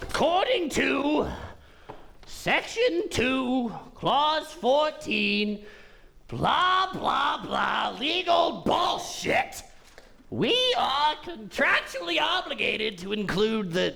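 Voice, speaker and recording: A man's put-on character voice, extremely high for a man, at a very slow pace over light background noise. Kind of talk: comic overacting. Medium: stage play. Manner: flamboyant, mocking, showy.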